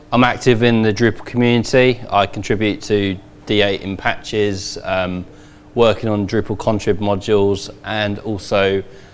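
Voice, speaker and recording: Audible room echo surrounds a man with a London accent, a fairly low pitch and fairly even intonation. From England, London. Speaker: conference speaker, web developer. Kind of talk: conference talk.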